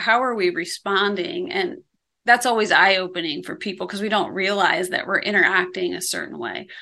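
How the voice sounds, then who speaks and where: A woman with an American accent has a bright, sharp tone, lively intonation and some vocal fry. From Iowa, US Midwest. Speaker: ministry founder and coach. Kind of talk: interview.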